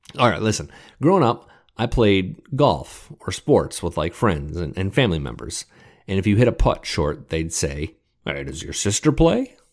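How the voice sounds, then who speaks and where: Speaking with an American accent, a man uses a fairly low pitch with vocal fry and very wide pitch swings. His pace is moderate, and the recording is very clean with a silent background. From US Midwest, Metro Detroit. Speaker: podcast host, music journalist. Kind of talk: solo commentary podcast.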